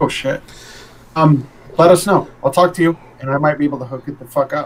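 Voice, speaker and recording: This voice is somewhat breathy, with fairly even intonation. It moves at a fairly quick pace. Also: man, fairly high pitch for a man. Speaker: podcast co-host. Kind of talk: casual chat.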